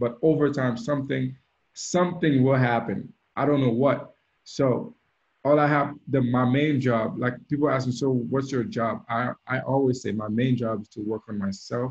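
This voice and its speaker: A man speaks at a medium pitch in a somewhat breathy voice. His pace is moderate and his pitch variation ordinary. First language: French (also Creole). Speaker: DJ and mentor. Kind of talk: mentorship talk on video call. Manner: hesitant, with fillers and repetitions.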